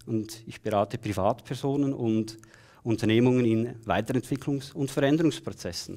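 There is a quiet background behind this man. His voice has a dark, mellow tone. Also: medium pitch for a man, ordinary pitch variation, moderate pace. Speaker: keynote speaker and coach; keynote speaker, coach. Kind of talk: keynote speech. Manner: animated. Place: stage. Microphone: headset.

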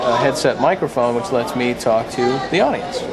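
A man speaks at a moderate pace. Crowd noise can be heard in the background. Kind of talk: demonstration explanation. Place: hall. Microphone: headset.

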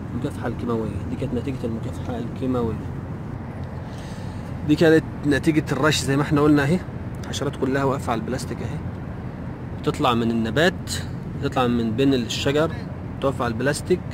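Delivered at a very fast pace, the speech has a dry sound with no echo and noticeable background noise. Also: man, ordinary pitch variation. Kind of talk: tutorial. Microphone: phone near.

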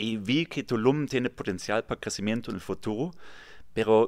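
The speaker goes at a fairly slow pace against a quiet background. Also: man. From Germany, near Kassel; Germany. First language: German (speaking Spanish). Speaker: real estate developer; guest. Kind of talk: interview. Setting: studio. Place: studio. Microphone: studio mic.

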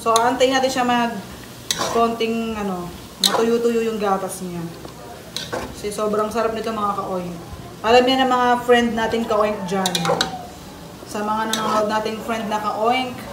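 A woman at a fairly slow pace, with long, frequent pauses and noticeable background noise. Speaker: home cook vlogger. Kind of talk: casual cooking tutorial chat. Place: kitchen. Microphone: phone near.

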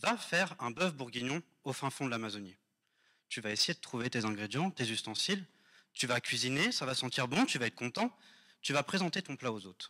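A man talks at a fairly quick pace with a bright, sharp tone and lively intonation. Long, frequent pauses break up his speech against a quiet background. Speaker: doctoral student contestant; candidate. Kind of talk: thesis pitch. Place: hall. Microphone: handheld.

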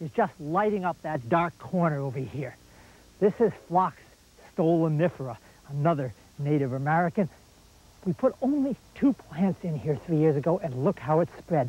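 This man has a high pitch and lively intonation. He speaks at a moderate pace, and the sound is dry with no echo. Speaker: garden show host. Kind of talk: tutorial. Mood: warm, enthusiastic. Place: garden. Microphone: lapel.

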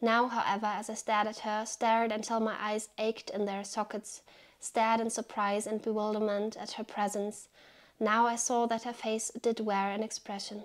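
A woman speaks in a monotone with flat intonation and a fairly high pitch, and the background is quiet. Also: moderate pace. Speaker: book reviewer. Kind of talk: book review video with literary reading aloud. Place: home room.

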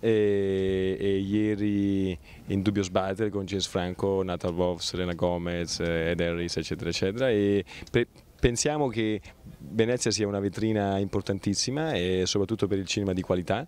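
Recorded dry with no echo, a man talks at a moderate pace with a fairly low pitch and ordinary pitch variation. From Italy. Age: 20s. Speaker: film producer. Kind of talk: interview. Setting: film festival. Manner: halting, many repetitions. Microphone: handheld.

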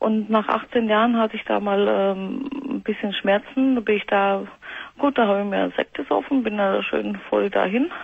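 A woman talks at a moderate pace. The sound is dry, with no echo. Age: 40s. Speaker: caller with panic disorder; radio caller. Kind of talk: phone-in call. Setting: phone call. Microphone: phone line.

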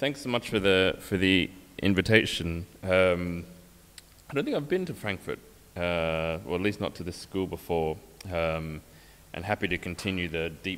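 A man's very deep, low voice at a fairly slow pace, with light background noise. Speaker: guest lecturer. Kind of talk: lecture. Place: hall.

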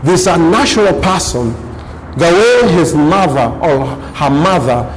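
Over light background noise, a man speaks in a fairly high pitch with lively intonation. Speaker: preacher. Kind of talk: sermon. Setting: church. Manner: emphatic, repetitive rhetorical build-up; calls for congregation responses. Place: studio.

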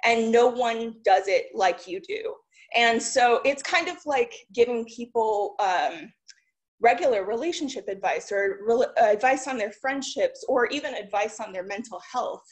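Against a quiet background, a woman speaks at a fairly slow pace with lively intonation. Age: 30s. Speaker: tech entrepreneur. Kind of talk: conference talk. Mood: encouraging, relaxed. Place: home room. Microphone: webcam.

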